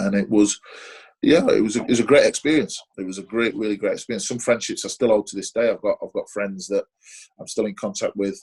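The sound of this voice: A man talks fast in a fairly low pitch. His tone is slightly mellow with a slightly husky edge. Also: ordinary pitch variation.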